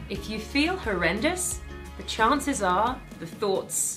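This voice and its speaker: A woman with a British accent talks at a fairly slow pace over clear music in the background. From Britain. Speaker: actress, host, voice over artist, speaker. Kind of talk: inspirational talk. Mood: warm, calm, uplifting. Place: studio.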